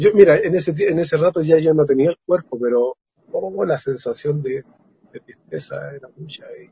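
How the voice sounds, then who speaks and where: Moderately paced, a man's fairly high voice shows ordinary pitch variation and big swings in loudness. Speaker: experiencer sharing testimony. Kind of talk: testimony, elder life testimony of a spiritual contact experience. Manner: earnest, halting, repeating words.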